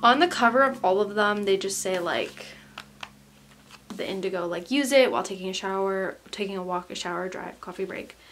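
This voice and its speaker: Speaking with an American accent at a fairly quick pace, the voice shows ordinary pitch variation and big swings in loudness. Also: woman, medium pitch for a woman. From US Midwest, St. Louis. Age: 20s. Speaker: vlogger. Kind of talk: unboxing video.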